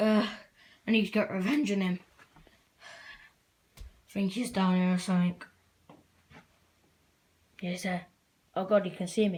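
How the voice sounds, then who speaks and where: Long, frequent pauses break up a cartoonish character voice, female-sounding and medium in pitch, delivered at a moderate pace. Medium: puppet. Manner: nervous, hesitant.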